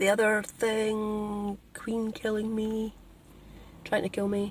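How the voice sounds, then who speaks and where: Speaking at a very slow pace, a woman with a Scottish accent has a fairly high pitch, a somewhat breathy voice and monotone, flat intonation. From Scotland. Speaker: spiritual vlogger. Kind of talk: casual vlog monologue. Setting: in a car, driving.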